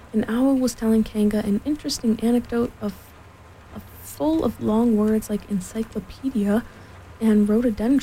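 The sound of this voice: The voice is unforced. It belongs to someone reading.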